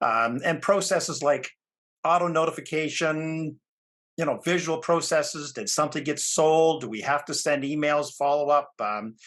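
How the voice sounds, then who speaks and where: Moderate pace and ordinary pitch variation over a quiet background. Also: man, fairly high pitch for a man. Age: 60s. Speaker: ag equipment sales rep and product specialist. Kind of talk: webinar presentation. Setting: online webinar. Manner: halting, many fillers.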